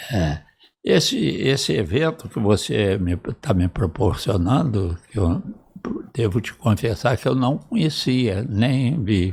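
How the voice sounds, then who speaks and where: A man speaks very slowly in a fairly low, somewhat breathy voice. His intonation is lively, and the recording is very clean with a silent background. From Brazil, northwestern Rio de Janeiro state. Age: 80s+. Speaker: retired cardiac surgeon and professor. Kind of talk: interview, reminiscing.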